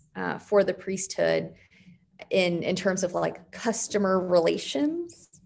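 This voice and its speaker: In an American accent, a woman talks at a medium pitch. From Arizona, west of Phoenix. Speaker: priest. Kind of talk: interview. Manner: energetic.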